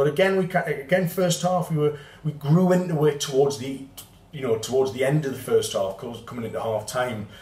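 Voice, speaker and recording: A man with a Geordie accent talks at a fairly high pitch. Noticeable background noise can be heard. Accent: Geordie (Newcastle) English. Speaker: football fan channel host. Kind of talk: match report to camera. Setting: outdoors in Porto after the match. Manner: halting, many fillers.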